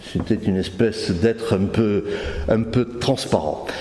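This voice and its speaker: Over noticeable background noise, a man with a southern French accent speaks fairly slowly with ordinary pitch variation. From southern France, Carcassonne / Narbonne area. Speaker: conference speaker giving testimony. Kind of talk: testimony. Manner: halting, many hesitations.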